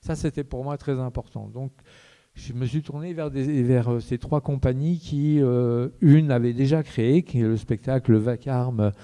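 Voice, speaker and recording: A man's dark, mellow tone, fairly slow and fairly even in intonation, with a dry, close sound and no echo. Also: medium pitch for a man. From Lorraine, France. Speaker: theatre director. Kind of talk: public talk introducing a debate. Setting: theatre with audience. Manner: halting, many hesitations and repetitions.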